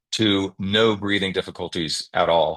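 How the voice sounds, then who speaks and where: A man speaks in a fairly low voice. His intonation stays monotone and flat. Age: 60s. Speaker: guest sharing health experience. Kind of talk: testimony on video call. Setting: video call.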